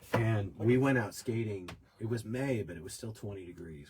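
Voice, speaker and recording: A man speaks with an American accent at a moderate pace. His voice is somewhat breathy. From US, New York. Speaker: podcast host. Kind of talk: casual chat.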